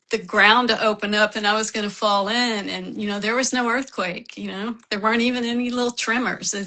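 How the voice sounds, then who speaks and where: A woman with an ordinary speaking voice talks fairly quickly at a fairly high pitch with fairly even intonation. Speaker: author, writing professor and bipolar advocate. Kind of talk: interview testimony.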